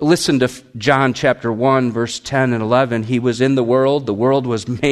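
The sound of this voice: The clip has an unforced reading voice. Its intonation is fairly even.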